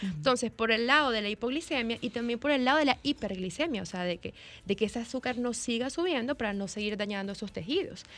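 In a Dominican accent, a woman speaks at a very fast pace with a fairly high pitch. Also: lively intonation. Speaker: nutrition doctor. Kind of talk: expert interview.

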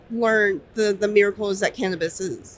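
She has a plain, everyday voice with an American accent and medium pitch. Her pace is fairly slow and her intonation fairly even. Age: 20s. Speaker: dispensary worker. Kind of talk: interview. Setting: trade show floor.

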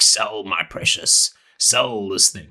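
Hissing and raspy, a man puts on a character voice at a fairly low pitch.

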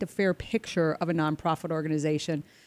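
The sound is dry and close with no echo, though noticeable background noise comes through. A woman speaks at a fairly quick pace. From Minnesota. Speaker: radio show host, guest co-host. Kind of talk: casual radio chat.

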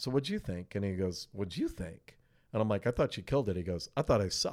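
An unremarkable speaking voice from a man, fairly low in pitch, with lively intonation. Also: very clean recording, silent background. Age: 50s. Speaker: concert promoter. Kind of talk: casual chat. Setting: promoter's office.

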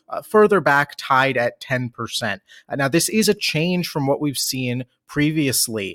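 A man with an American accent uses a normal speaking voice, fairly high in pitch, at a moderate pace. The sound is dry and close with no echo, on a very clean recording with a silent background. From Washington, D.C. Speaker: political analyst. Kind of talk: casual political analysis chat.

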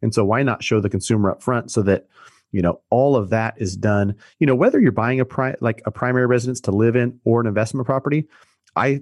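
A man with a plain, everyday voice at medium pitch, with ordinary pitch variation and a fairly quick pace, dry and close with no echo, against a quiet background. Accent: American. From Sacramento, California. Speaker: mortgage broker and real estate investor. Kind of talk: casual interview.

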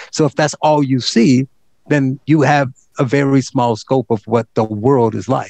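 Speaking at a fairly slow pace, a man with an American accent has a medium pitch in a dry, close sound with no echo. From US Midwest, Gary, Indiana. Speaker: education nonprofit director and radio host. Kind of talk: casual interview. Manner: animated.

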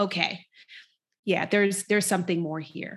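A woman with a plain, everyday voice at medium pitch and moderate pace, on a very clean recording with a silent background. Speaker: executive coach and speaker. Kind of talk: casual chat.

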